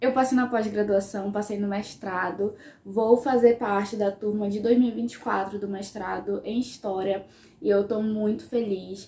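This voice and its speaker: A woman speaks at a moderate pace and a fairly high pitch, with ordinary pitch variation. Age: 20s. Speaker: history student and YouTuber. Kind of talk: casual vlog talk to camera.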